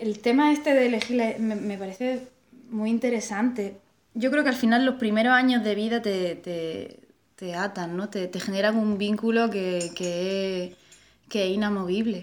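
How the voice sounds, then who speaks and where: Woman at a fairly high pitch, fairly slow pace and ordinary pitch variation, with big swings in loudness. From Melilla, Spain. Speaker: artist and bookseller. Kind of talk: casual conversation. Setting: at her home. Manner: hesitant, repeats words.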